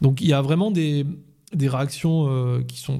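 At a fairly high pitch, a man speaks at a moderate pace with a dark, mellow, somewhat breathy voice and a calm tone. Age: 40s. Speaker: police officer. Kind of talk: interview.

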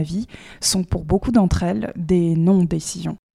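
A woman's somewhat breathy voice with a dark, mellow tone at a moderate pace. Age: 20s. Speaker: podcast host. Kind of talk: scripted narration.

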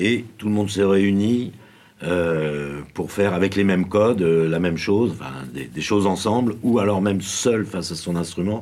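Audible room echo surrounds a man as he talks at a fairly low pitch. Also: ordinary pitch variation, moderate pace. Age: 50s. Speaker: professional drummer and drum teacher. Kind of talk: casual interview. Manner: halting, with frequent repetitions.

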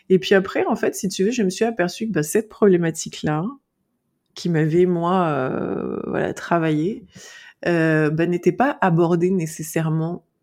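A woman speaks at a fairly slow pace with a fairly low pitch. Her tone is dark and mellow, with ordinary pitch variation. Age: 40s. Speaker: naturopath specialized in eating disorders. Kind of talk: interview. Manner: outspoken, frank.

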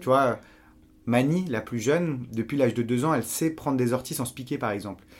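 A man talks at a fairly quick pace with medium pitch and ordinary pitch variation on a very clean recording with a silent background. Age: 30s. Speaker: journalist and university teacher, activist. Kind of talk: casual interview. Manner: halting, many repetitions and fillers.

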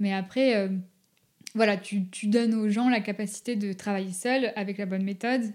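A woman at a moderate pace, medium pitch and monotone, flat intonation. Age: 20s. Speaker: dog behaviour consultant. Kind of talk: casual chat. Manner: halting.

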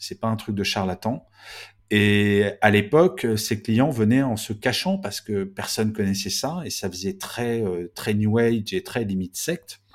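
This man has a plain, everyday voice with fairly low pitch and ordinary pitch variation. The recording is very clean, with a silent background. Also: fairly slow pace. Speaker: management author and speaker. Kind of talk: interview.

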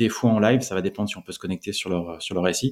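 Dark and mellow in tone, a man's voice sits at a fairly low pitch. He talks at a fairly quick pace with ordinary pitch variation. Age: 40s. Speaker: startup founder. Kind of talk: interview. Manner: halting, many repetitions.

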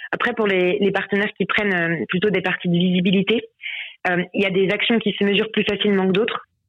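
A woman's medium-pitched voice at a fairly quick pace, with monotone, flat intonation and very even loudness. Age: 20s. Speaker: sales manager at a handball club. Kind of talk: interview. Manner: hesitant, many fillers.

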